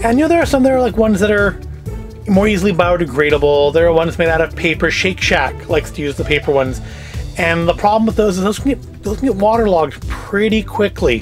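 Very fast speech with clear music in the background. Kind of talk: casual haul commentary. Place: home room.

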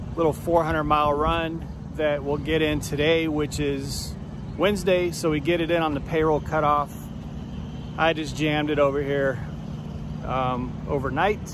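Moderate pace with long, frequent pauses, a dry sound with no echo, and noticeable background noise. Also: man, fairly high pitch for a man. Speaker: truck driver vlogger. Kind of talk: casual vlog monologue. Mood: upbeat, appreciative. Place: street. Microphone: phone near.

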